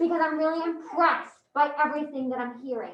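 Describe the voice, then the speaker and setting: A high-pitched, put-on character voice rattles along at a very fast pace. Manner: menacing.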